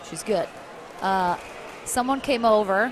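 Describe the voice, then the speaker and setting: A woman speaks in an animated tone with an American accent. Background noise is noticeable. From United States. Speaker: sports commentator. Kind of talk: live commentary.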